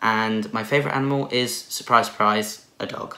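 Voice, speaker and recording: Room echo is audible in this clip. A man speaks at a fairly quick pace. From southern England, Watford/North London. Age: 20s. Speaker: vlogger. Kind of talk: casual Q&A vlog.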